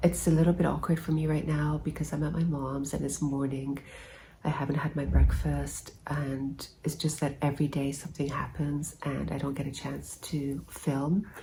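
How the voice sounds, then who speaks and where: A soft-spoken woman with a very deep, low pitch, a dark, mellow tone, vocal fry and monotone, flat intonation, with audible room echo. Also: moderate pace. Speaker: health vlogger. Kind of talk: casual vlog. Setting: at her mom's living room. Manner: hesitant. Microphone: no microphone.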